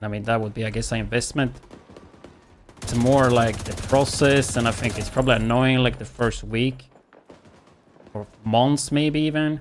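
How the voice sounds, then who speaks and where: Pausing long and often, a man speaks at a moderate pace and medium pitch with fairly even intonation. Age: 30s. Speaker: gaming streamer. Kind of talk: casual chat. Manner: casual, chatty.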